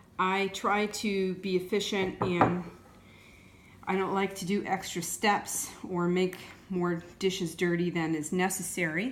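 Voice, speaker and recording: With noticeable background noise behind her, a woman of medium pitch speaks at a fairly slow pace. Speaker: soap maker. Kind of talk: tutorial. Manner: unscripted, off the cuff.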